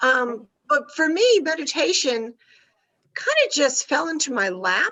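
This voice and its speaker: Speaking at a fairly slow pace, a high-pitched woman's voice swings very widely in pitch, broken by long, frequent pauses. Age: 70s. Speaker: meditation teacher. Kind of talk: interview. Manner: hesitant, many fillers.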